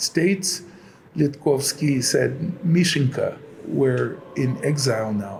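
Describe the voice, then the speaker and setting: Noticeable background noise comes through behind the speaker. He is a man with a fairly high pitch. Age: 70s. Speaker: church reader, iconographer and choir director. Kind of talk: interview, reminiscing.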